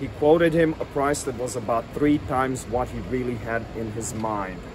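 The tone is animated, at a fairly quick pace. Noticeable background noise runs underneath. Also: man. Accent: American. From New Orleans, US South. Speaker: local history tour guide and video storyteller. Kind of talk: true-crime narration. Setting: outdoors on location in front of the house. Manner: conversational storyteller, wry and tongue-in-cheek, with dramatic emphasis; animated, relishing gruesome details, some filler words. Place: street. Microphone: phone near.

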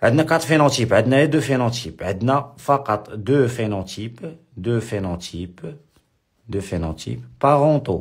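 Somewhat breathy, a man speaks with lively intonation in a very clean recording with a silent background. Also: medium pitch for a man, moderate pace. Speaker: high school biology teacher. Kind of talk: lecture. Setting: live stream. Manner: repetitive.

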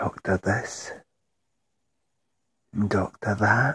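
Putting on a character voice, a man sounds raspy and intense at a fairly low pitch, in a dry, close sound with no echo. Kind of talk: dramatic monologue. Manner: intense, emotional.

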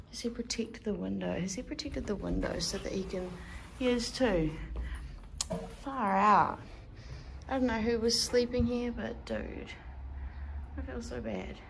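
A woman's speech at a moderate pace, long and frequent pauses, light background noise. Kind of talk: casual vlog chat. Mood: excited then sympathetic. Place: home room. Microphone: phone near.

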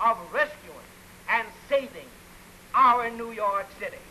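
A man talks in a raised, projected voice at a fairly slow pace, his pitch varying in an ordinary way. Light background noise is present. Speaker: mayoral candidate. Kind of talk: political campaign speech. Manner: forceful, oratorical. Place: studio. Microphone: old recording.

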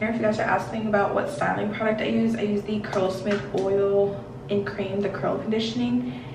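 A woman with an American accent, lively intonation and hardly any pauses at a moderate pace, over noticeable background noise and audible room echo. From Washington, D.C. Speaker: beauty vlogger. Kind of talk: casual chat. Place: home room. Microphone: camera far.

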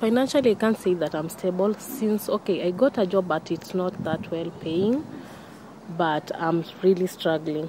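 Recorded dry with no echo and with noticeable background noise, a woman speaks at a fairly slow pace. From Kenya. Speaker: wife of a prisoner, campaigner. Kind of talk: interview testimony; interview answer. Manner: halting, with repetitions and fillers. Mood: distressed, earnest. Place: garden.

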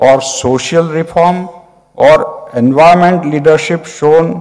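A man's voice with ordinary pitch variation against a quiet background. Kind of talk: formal speech. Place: hall. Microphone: podium.

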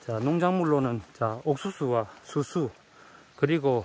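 Over light background noise, a man speaks at a very slow pace and a fairly high pitch. His intonation is lively, and the sound is dry with no echo. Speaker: documentary host. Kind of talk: casual narration to camera. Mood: admiring, warm. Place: farm. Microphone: phone near.

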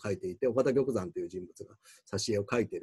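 A somewhat breathy voice over a quiet background. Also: man. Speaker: university professor. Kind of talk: lecture. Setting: recorded video without live audience. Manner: halting, many fillers. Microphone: webcam.

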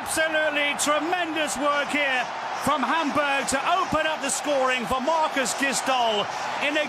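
Raising and projecting his voice, a man speaks in an extremely high pitch with an animated tone. Noticeable noise runs in the background. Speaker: football commentator. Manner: animated, excitable, rising in pitch at red cards and goals.

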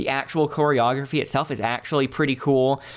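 This man's voice sits at a fairly high pitch. His delivery moves at a fairly quick pace. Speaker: gaming youtuber, movie reviewer. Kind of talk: solo video review. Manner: unscripted, conversational.

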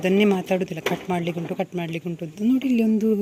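The voice keeps a fairly even intonation against noticeable background noise. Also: woman. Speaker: vlogger. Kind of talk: casual vlog talk. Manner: casual conversational.

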